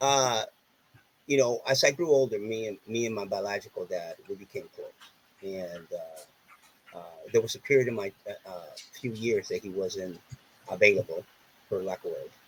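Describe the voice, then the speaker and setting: Over noticeable background noise, a man talks at a moderate pace with big swings in loudness and long, frequent pauses. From Puerto Rico. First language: Spanish. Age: 30s. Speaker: author and entertainer. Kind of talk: casual chat.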